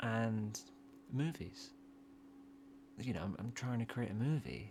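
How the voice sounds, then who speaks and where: A man speaks at a fairly low pitch with ordinary pitch variation. His voice is somewhat breathy. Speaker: gaming youtuber. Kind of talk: casual monologue while gaming. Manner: long pauses, halting; repetitive stammering.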